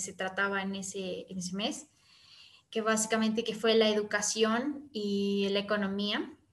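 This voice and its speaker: Fairly slow and fairly high in pitch, a woman speaks in a plain, everyday voice. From Ecuador, Quito. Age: young. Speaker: youth service club member. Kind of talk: casual interview chat.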